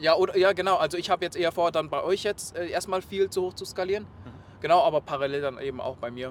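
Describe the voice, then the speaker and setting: A man's high-pitched voice races along at a very fast pace, showing ordinary pitch variation. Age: 20s. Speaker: e-commerce project manager. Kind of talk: interview. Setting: in a car.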